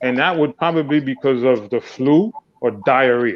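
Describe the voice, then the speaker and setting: With a New York accent, a man speaks at a fairly high pitch and a moderate pace, his intonation lively. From Haiti, raised in New York City from age 7. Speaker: dancer. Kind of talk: casual panel discussion. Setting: live streamed online panel. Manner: animated.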